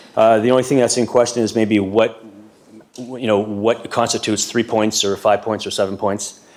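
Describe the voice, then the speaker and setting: Noticeable background noise sits under a man's voice. He speaks at a medium pitch with fairly even intonation. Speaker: delegate for short-term rental hosts association. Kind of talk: council delegation presentation. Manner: fast.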